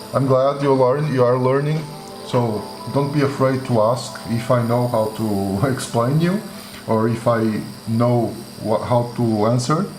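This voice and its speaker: A fairly slow voice with a Portuguese accent, very even loudness and ordinary pitch variation, plus music in the background and audible room echo. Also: man, medium pitch for a man. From Portugal, Porto. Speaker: tattoo artist. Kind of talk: live-stream tutorial with Q&A. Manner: halting, many fillers.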